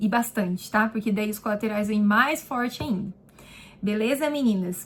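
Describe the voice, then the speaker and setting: A woman speaks at a fairly high pitch, somewhat breathy. Her pitch variation is ordinary and her pace moderate. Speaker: beauty therapist and vlogger. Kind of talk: casual vlog answering viewer questions. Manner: chatty, informal.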